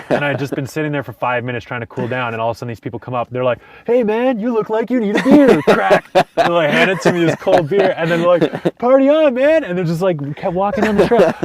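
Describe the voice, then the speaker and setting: A man in a French Canadian accent sounds animated, talking at a fairly quick pace with very wide pitch swings over noticeable background noise. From Canada, French-speaking. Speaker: van-dwelling travel vlogger. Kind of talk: casual interview chat.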